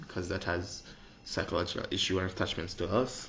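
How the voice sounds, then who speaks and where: Talking at a very fast pace in an animated tone, a man with a very deep, low pitch sounds out amid audible room echo. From Jamaica. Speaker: podcaster. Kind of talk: opinion monologue.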